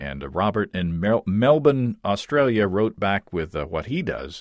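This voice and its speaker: On a very clean recording with a silent background, a man with a plain, everyday voice talks at a fairly low pitch with lively intonation. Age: 40s. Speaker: podcast host. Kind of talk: interview.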